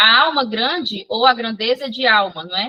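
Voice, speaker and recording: Fairly high in pitch, a woman speaks with ordinary pitch variation. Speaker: psychology instructor. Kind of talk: online lecture. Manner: fast.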